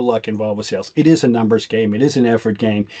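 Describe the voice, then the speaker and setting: Speaking very fast with a Boston accent, a man has a dark, mellow tone and ordinary pitch variation. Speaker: podcast co-host, IT business consultant. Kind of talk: casual chat. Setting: podcast recording. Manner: rambling with frequent restarts.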